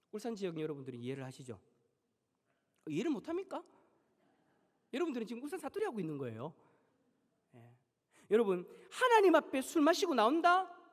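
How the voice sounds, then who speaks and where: Speaking very fast at an extremely high pitch, a man swings his voice very widely and leaves long, frequent pauses. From Busan, South Korea. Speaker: pastor. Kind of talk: sermon. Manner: animated.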